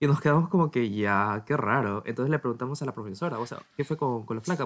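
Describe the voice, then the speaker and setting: A man with an ordinary speaking voice, medium in pitch, at a fairly quick pace with ordinary pitch variation. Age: 20s. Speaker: podcast host, university student. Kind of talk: casual chat.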